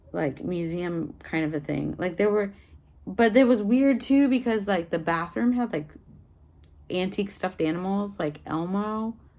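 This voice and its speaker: A woman with an American accent has a dark, mellow tone. She talks at a moderate pace with lively intonation. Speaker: vlogger. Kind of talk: casual vlog. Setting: at home, in apartment. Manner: hesitant, many fillers.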